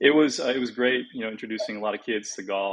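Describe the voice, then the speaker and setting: This man has a West Coast US accent. He talks at a very fast pace. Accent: General American (West Coast). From California, San Francisco Bay Area. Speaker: golf teaching professional, former tour player. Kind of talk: podcast interview. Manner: casual, many fillers.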